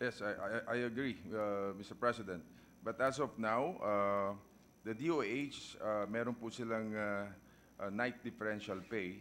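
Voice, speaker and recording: With a Filipino accent, a man speaks at a fairly slow pace in a fairly low voice with ordinary pitch variation over light background noise. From Philippines. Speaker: senator. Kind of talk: legislative debate. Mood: polite, explanatory. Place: hall. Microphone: podium.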